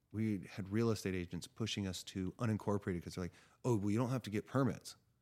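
A man talks at a fairly quick pace with a fairly low pitch. His is a plain, everyday voice. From California. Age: 30s. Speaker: cannabis grower. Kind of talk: podcast interview.

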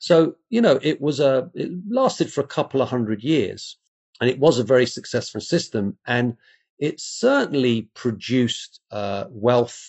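Speaking fairly slowly with an English accent, a man uses a medium pitch and ordinary pitch variation. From England. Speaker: classics professor. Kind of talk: interview.

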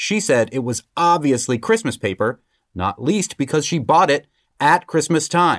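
A man with an American accent and vocal fry speaks at a moderate pace and fairly high pitch with very wide pitch swings, in a dry, close sound with no echo on a very clean recording with a silent background. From Massachusetts. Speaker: guest bailiff. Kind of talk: casual chat, comedic banter.

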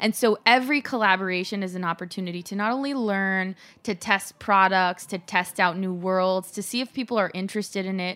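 With a Californian accent, a woman speaks at a medium pitch and a fairly quick pace, with hardly any pauses, a bright, sharp tone and ordinary pitch variation, on a very clean recording with a silent background. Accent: Californian American. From Los Angeles. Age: 30s. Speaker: entrepreneur. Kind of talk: interview. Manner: animated.

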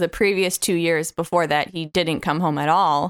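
A woman speaks in a plain, everyday voice with fairly low pitch and fairly even intonation, at a moderate pace. The recording is very clean with a silent background, and the sound is dry and close with no echo. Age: 30s. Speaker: litigant in a podcast mock court. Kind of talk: casual chat.

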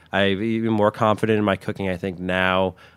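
The speaker has an American accent, heard on a very clean recording with a silent background. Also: man. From New Jersey, Westwood. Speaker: chef. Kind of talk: interview. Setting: outdoor garden studio.

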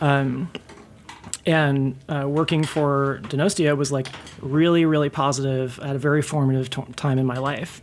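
A woman speaks at a moderate pace with a very deep, low pitch and fairly even intonation. Noticeable background noise runs behind her. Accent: American. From Tallahassee, Florida, US South. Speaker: former bartender. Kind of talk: casual chat. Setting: studio.

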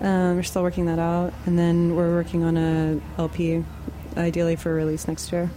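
Her American accent comes through at a moderate pace, in a fairly low pitch with monotone, flat intonation. The woman's loudness stays very even, and noticeable background noise is present. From Austin, Texas. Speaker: musician in a band. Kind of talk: casual interview. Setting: studio.

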